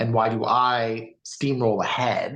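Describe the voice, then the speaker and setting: Here a man speaks at a medium pitch. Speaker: podcast co-host. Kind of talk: casual chat. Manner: loud.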